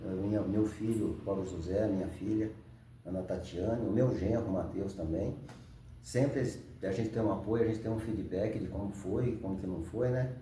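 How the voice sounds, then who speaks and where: In a room with audible echo, a man talks at a moderate pace, his fairly low pitch showing ordinary variation. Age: 60s. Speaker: ultramarathon runner, retired professor. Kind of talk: interview.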